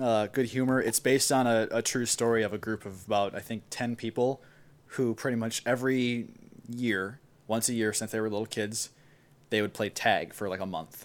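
A man with an Upper Midwest accent and fairly even intonation on a very clean recording with a silent background. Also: medium pitch for a man, moderate pace. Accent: Upper Midwest American. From US Midwest, Wisconsin (Milwaukee). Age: 20s. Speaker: recent college graduate, electronic music producer. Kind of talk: casual chat.

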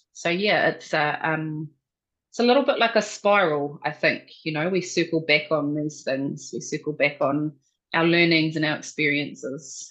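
A woman's very deep, low pitch in a New Zealand accent, over a quiet background. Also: ordinary pitch variation, moderate pace. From New Zealand, central North Island. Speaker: researcher. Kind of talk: interview.

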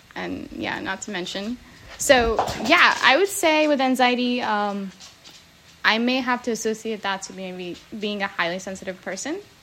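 With an American accent, a woman speaks at a moderate pace with lively intonation and big swings in loudness. Noticeable background noise is present. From New Jersey. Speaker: podcast host. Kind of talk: casual chat.

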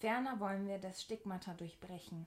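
A woman with a medium pitch talks at a moderate pace in an ordinary speaking voice. Her intonation is fairly even. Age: 20s. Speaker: podcast host. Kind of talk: scripted introduction.

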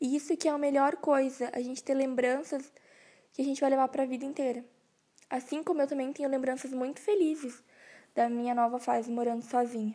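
Dark, mellow tone at a fairly quick pace, with fairly even intonation. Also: woman, high pitch for a woman. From southern Brazil, Rio Grande do Sul. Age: 20s. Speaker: podcast host, university student. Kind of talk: personal monologue podcast.

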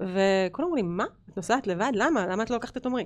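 Talking at a very fast pace, a woman uses lively intonation in a medium pitch. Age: 40s. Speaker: entrepreneur and business owner. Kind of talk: casual interview chat. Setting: studio.

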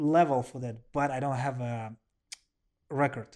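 A man with a Russian accent and fairly high pitch, at a fairly slow pace over a quiet background. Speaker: professional kickboxer and MMA fighter. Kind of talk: casual interview. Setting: at the host's home. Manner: animated.

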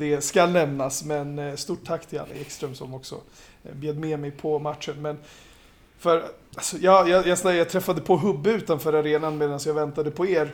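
A man's plain, everyday voice, fairly high-pitched, with big swings in loudness, moderate pace and fairly even intonation. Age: 30s. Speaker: basketball pundit. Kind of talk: casual chat.

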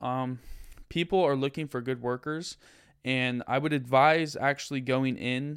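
The recording is very clean, with nothing in the silent background. A man's medium-pitched voice holds a fairly even intonation. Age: 20s. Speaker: podcast host and college student. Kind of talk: solo monologue advice podcast. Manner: casual, hesitant with many fillers.

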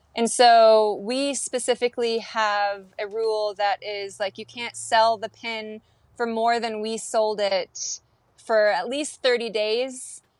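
In an American accent, a woman with fairly high pitch talks at a very slow pace in a monotone, flat delivery, recorded very cleanly with a silent background and a dry, close sound with no echo. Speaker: artist. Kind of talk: interview.

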